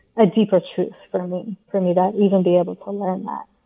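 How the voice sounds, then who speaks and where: A woman speaks in a plain, everyday voice. Her pitch is medium and her pace fairly slow. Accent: American. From England, then US. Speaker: yoga teacher and author. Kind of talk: interview.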